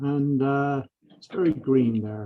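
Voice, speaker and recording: A man is speaking. He has an Irish accent. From Ireland. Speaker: professor and engineering lab director. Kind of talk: lecture.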